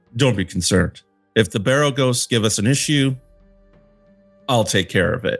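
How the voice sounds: A man with a medium-pitched, resonant voice does a put-on character voice at a moderate pace, with ordinary pitch variation. He leaves long, frequent pauses, and faint music plays in the background.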